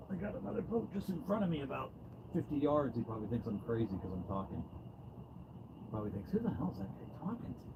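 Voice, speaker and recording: Over noticeable background noise, a man at a medium pitch talks very fast with very wide pitch swings and long, frequent pauses. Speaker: fishing livestreamer. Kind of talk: live stream chat. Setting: outdoors in a boat. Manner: loud; casual.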